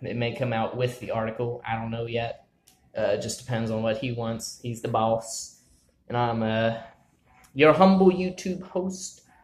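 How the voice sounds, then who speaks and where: A man is speaking. Room echo can be heard. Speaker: vlog host. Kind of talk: casual vlog chat. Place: office. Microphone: phone near.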